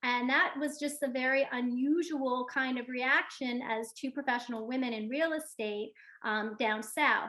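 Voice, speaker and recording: Her voice is raised and projected, with a bright, sharp tone and a high pitch. This woman has a New York accent and speaks at a moderate pace with fairly even intonation. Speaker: real estate agent. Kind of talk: panel discussion.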